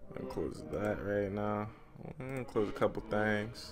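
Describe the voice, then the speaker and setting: A man's delivery runs at a moderate pace. There is music in the background. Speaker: streamer reading a visual novel aloud. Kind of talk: live stream reading aloud with commentary. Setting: live stream. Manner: soft-spoken; casual, halting with fillers.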